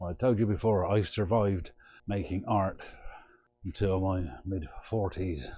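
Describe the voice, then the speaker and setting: A man's very deep, low voice, somewhat breathy, at a fairly slow pace with ordinary pitch variation. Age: 60s. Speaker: artist. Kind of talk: casual vlog monologue.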